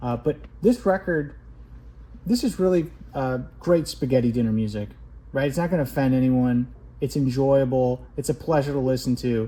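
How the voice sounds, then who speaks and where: A somewhat breathy, dark, mellow voice from a man of medium pitch, at a moderate pace with long, frequent pauses and ordinary pitch variation. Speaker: record collector video host. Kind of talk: casual tutorial-style record review.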